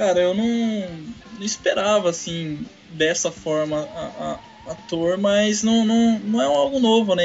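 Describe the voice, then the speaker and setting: Amid noticeable background noise, a man with a São Paulo interior accent talks at a fairly slow pace with ordinary pitch variation. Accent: paulista caipira. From São Paulo countryside, Brazil. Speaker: podcast co-host. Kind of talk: casual chat. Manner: halting.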